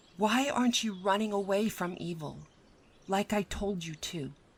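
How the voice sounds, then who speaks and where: In a put-on character voice, a woman talks at a moderate pace and a medium pitch. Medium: role play.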